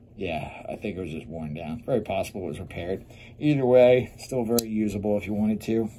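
A man talks at a very fast pace with a fairly low pitch and ordinary pitch variation. Light background noise sits behind him. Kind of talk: product show-and-tell commentary. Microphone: phone near.

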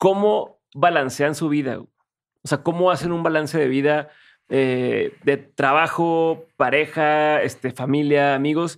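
In a Mexican accent, a man speaks at a very slow pace with fairly even intonation. His pitch is fairly high, and the background is quiet. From Mexico. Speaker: podcast host. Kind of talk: interview. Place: studio. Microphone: studio mic.

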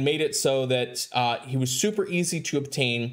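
A man with lively intonation speaks at a moderate pace, the background quiet. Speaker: mobile game content creator. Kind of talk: gaming commentary. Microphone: headset.

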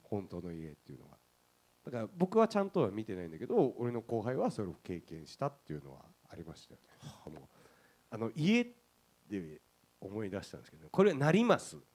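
A man talks fairly quickly in a fairly low voice. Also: big swings in loudness. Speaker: guest. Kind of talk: casual anecdote on stage. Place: stage.

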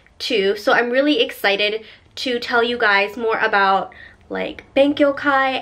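Lively intonation and a bright, sharp tone come at a fairly slow pace. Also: woman. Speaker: vlogger. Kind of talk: casual vlog chat. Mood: cheerful, animated. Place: home room.

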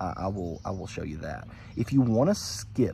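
Light background noise sits behind a somewhat breathy voice with a dark, mellow tone. The delivery comes at a fairly slow pace, and the sound is dry with no echo. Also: man. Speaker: hobby vlogger. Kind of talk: casual vlog chat. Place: garden. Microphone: phone near.

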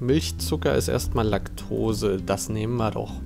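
A man talks at a very slow pace. Clear music plays in the background. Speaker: streamer. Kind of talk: casual live-stream commentary. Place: home room. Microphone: earbuds.

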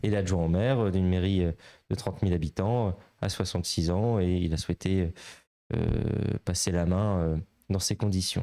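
The voice has a dark, mellow tone, fairly even intonation, and very even loudness at a very slow pace. The background is quiet. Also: man, very deep, low pitch for a man. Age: 20s. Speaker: member of parliament; guest. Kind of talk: interview. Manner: hesitant, many filler sounds. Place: office. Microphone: handheld.

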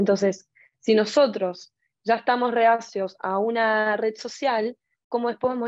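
In a dry recording with no echo and a quiet background, a woman talks in a fairly high voice with monotone, flat intonation. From Argentina. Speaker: fashion marketing student; speaker. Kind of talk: panel discussion. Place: home room. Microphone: earbuds.

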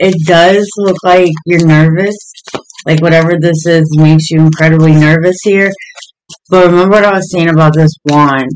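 A man speaks at a moderate pace in a high pitch, his intonation monotone and flat and his loudness very even. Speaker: tarot reader. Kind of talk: tarot reading commentary. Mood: calm, friendly.

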